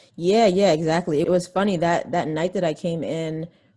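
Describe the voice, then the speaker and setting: A woman with an American accent speaks at a moderate pace and a fairly low pitch. Her tone is dark and mellow, with fairly even intonation. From US, raised in DC area from young child. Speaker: musician and filmmaker. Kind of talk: interview. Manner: casual, relaxed.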